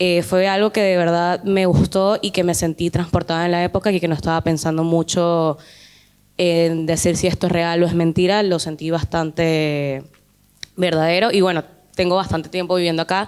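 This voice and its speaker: A woman's fairly low voice, monotone and flat, with very even loudness at a moderate pace. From not Argentina. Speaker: film student. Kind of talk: audience question. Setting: talk with student audience.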